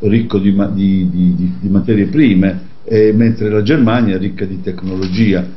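A man talks at a very slow pace in a fairly low pitch. His pitch varies in an ordinary way. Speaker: radio co-host. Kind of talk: radio discussion.

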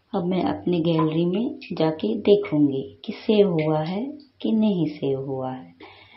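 Her pitch is very deep and low. The woman also sounds somewhat breathy. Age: 50s. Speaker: YouTube creator. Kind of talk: tutorial. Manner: halting.

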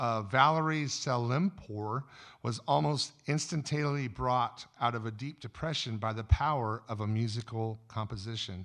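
Against a quiet background, a man speaks at a fairly slow pace. His pitch variation is ordinary. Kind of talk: sermon-style talk. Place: stage. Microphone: studio mic.

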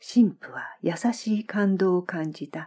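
A woman's dark, mellow, somewhat breathy voice stays calm and soothing while her pitch swings very widely. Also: quiet background. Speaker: former Japanese teacher. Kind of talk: literary audiobook reading. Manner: calm, soothing.

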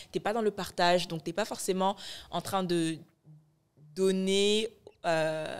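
Fairly slow and with fairly even intonation, a woman delivers her words. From Morocco (born in Ivory Coast). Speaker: media founder and content creator; content creator. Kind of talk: casual chat. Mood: reflective, warm. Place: studio. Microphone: studio mic.

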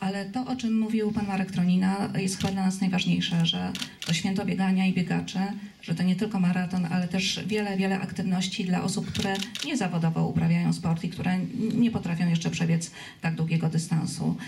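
Over light background noise, a woman speaks very fast with very even loudness and fairly even intonation. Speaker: corporate CSR director. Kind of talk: press conference. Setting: cinema hall with audience. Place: stage.

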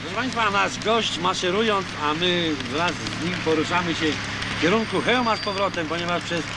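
A man's voice, dry and free of echo, competes with loud background noise. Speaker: local TV reporter. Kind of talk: on-location report commentary. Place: street.

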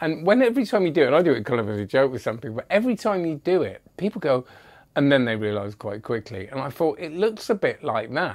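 Very wide pitch swings mark a man's speech at a very fast pace. Around him, the background stays quiet. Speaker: magic product reviewer. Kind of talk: casual review commentary. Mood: amused, chatty. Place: home room. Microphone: lapel.

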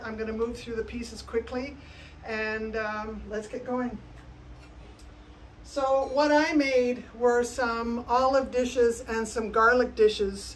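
At a fairly slow pace and with fairly even intonation, a woman speaks against light background noise. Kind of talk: casual vlog chat. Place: workshop. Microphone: phone near.

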